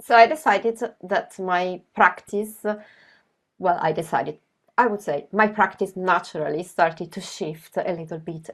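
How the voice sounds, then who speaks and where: A woman speaks with an Italian accent at medium pitch and a moderate pace. Her loudness swings widely. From Italy. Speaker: graphic novelist. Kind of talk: presentation. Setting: video call.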